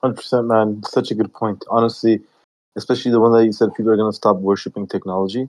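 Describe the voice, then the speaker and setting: A man speaks very fast in a monotone, flat delivery. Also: medium pitch for a man, quiet background. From Yorkshire, northern England. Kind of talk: casual group discussion. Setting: online audio room.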